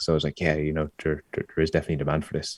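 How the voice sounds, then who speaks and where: A man with an Irish accent and a very deep, low pitch comes through on a very clean recording with a silent background. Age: 30s. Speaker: startup founder. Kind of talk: podcast interview. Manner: halting, many repetitions.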